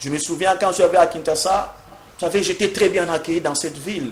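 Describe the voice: Audible room echo surrounds a man whose fairly high pitch shows ordinary pitch variation.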